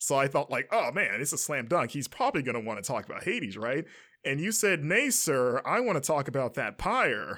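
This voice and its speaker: A man speaks at a fairly quick pace, his pitch fairly high with very wide swings. His tone is bright and sharp, on a very clean recording with a silent background. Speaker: podcast host. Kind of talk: casual chat.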